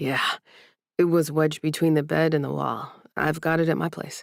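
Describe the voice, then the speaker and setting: Putting on a character voice, a woman speaks at a moderate pace in a raspy, very deep, low pitch with monotone, flat intonation. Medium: read story. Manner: friendly, eager.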